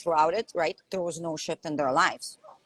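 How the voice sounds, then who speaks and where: A woman with a Lithuanian accent talks at a fairly quick pace and fairly low pitch, in a dry, close sound with no echo. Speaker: life coach. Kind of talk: live stream conversation. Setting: live video call. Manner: animated.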